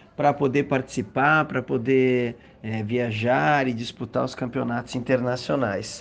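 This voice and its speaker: The man talks at a moderate pace. The background is quiet. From southern Brazil, Rio Grande do Sul. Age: 50s. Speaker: gymnastics athlete. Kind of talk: interview answers. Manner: hesitant, with fillers.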